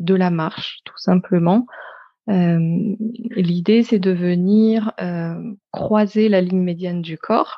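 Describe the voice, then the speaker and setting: The woman speaks at a very slow pace with a somewhat breathy sound. Her pitch sits at a medium level, and her intonation stays fairly even. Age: 30s. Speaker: kinesiologist. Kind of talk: interview.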